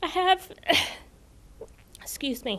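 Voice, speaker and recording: In a Tennessee accent, a woman talks at an extremely high pitch with ordinary pitch variation. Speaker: new assistant principal. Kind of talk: acceptance speech. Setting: school board meeting.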